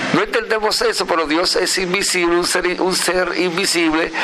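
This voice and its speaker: Noticeable noise in the background, with pitch varying in an ordinary way. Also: man. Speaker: radio host. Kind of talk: radio interview. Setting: outdoor terrace at a foundation, remote broadcast.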